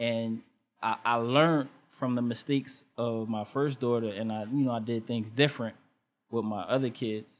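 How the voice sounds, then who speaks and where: In a normal speaking voice, a man talks at a moderate pace with medium pitch and fairly even intonation. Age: 40s. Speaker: youth mentor. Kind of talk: casual chat.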